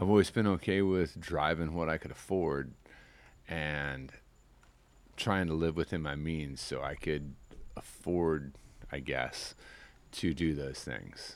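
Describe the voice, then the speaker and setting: With an American accent, a man speaks at a fairly slow pace with long, frequent pauses, his very deep, low pitch showing ordinary variation. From US Midwest. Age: 40s. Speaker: fishing guide. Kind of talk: casual interview chat. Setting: outdoors on a porch.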